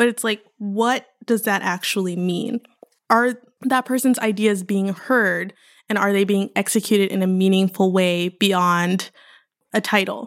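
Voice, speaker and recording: With an American accent, a woman in an unremarkable speaking voice talks at a fairly slow pace, her medium pitch carrying fairly even intonation. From Houston, Texas. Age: 20s. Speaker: PhD student in art history. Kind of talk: casual interview.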